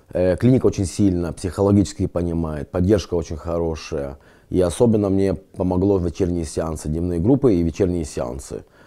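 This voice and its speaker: Against a quiet background, a man speaks with a very deep, low pitch and a dark, mellow tone. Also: ordinary pitch variation, moderate pace. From Lithuania, grew up partly in Israel; Lithuania. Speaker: rehab patient. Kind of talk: testimony; interview answer. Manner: halting. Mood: earnest, reflective.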